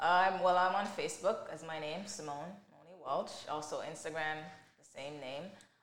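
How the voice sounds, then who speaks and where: Audible room echo and noticeable background noise fill the recording. The voice has big swings in loudness but fairly even intonation. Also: woman, fairly low pitch for a woman, moderate pace. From Jamaica, moved to Canada at nine. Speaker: mental health advocate and author. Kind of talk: interview testimony.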